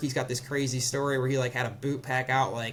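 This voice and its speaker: The man talks at a medium pitch. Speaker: ski gear startup co-founder. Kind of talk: casual interview. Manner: fast; casual, filler-heavy.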